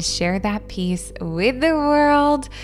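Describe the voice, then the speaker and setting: A woman's soothing, warm voice at a very slow pace with lively intonation, over noticeable background noise. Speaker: meditation guide. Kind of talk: guided meditation. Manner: soft, slow, soothing and warm; gentle, unhurried, with long pauses.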